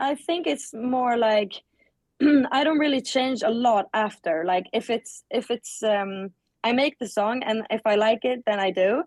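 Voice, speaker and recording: Delivered in a Swedish accent at a fairly slow pace, the speech has ordinary pitch variation and very even loudness, with a dry, close sound and no echo. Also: woman, fairly high pitch for a woman. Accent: Swedish accent when speaking English. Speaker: singer. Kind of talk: interview. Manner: halting, many fillers.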